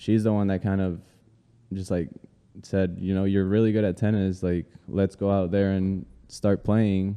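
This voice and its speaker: A man with an American accent speaks in a fairly low pitch with a dark, mellow tone. His intonation is monotone and flat, with long, frequent pauses. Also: moderate pace. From Colombia, Cali; in the US from age nine. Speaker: photographer. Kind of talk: casual interview.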